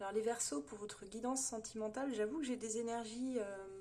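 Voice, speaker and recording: Pitched fairly high with ordinary variation, a woman speaks in a dark, mellow tone. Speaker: tarot reader. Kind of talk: tarot reading monologue. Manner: fast; hesitant, many fillers.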